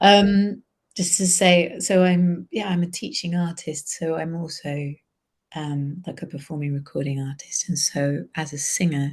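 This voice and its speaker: A woman with a fairly low, somewhat breathy voice speaks at a fairly slow pace with fairly even intonation. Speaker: singer and vocal improvisation facilitator. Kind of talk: casual chat.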